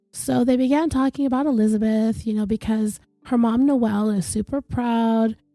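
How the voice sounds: A woman talks at a moderate speed while music plays in the background.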